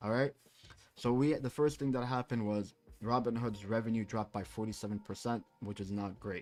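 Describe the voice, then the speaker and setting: A man speaks in an unremarkable speaking voice at a medium pitch, with fairly even intonation. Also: fairly quick pace. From Canada. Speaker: crypto trader and market analyst. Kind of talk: livestream market analysis. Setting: live stream with chat. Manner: casual, many fillers.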